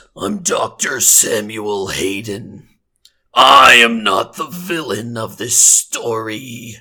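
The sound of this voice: A man's put-on character voice, robotic, growling and raspy, at a very slow pace. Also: medium pitch for a man.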